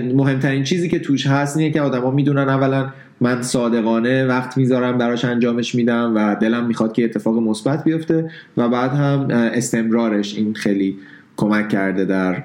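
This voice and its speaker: This man has an ordinary speaking voice at a medium pitch, with ordinary pitch variation. He talks at a fairly quick pace, and his loudness stays very even. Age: 30s. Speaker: photographer and blogger. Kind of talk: casual interview.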